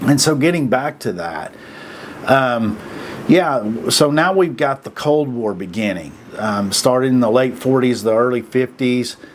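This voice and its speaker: A man with an American accent at a medium pitch, fairly slow, with lively intonation and noticeable background noise. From Oklahoma, US. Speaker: video commentator. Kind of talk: casual monologue. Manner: halting, many fillers and repeats; plain folksy speech.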